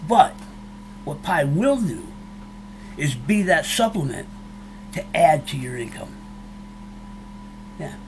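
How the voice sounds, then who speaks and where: The speaker is a man. His pitch is high. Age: 60s. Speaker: YouTuber, cryptocurrency commentator. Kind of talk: casual monologue to viewers. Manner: emotional, fired up; halting, many restarts.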